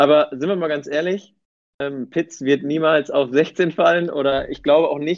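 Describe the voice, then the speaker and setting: A man's unremarkable speaking voice, fairly high in pitch, with fairly even intonation at a moderate pace. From Bielefeld, Germany. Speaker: football fan, community member. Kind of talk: casual chat.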